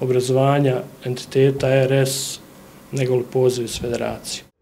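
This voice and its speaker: Light background noise behind a man talking at a moderate pace. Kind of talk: press conference statement. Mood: serious, somewhat critical. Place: hall. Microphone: podium.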